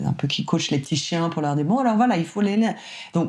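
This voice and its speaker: Energetic in tone, a woman speaks with a very deep, low pitch. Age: 40s. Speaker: singer and voice actor. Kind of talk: interview conversation. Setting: at home, seated in bedroom. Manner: energetic, extroverted.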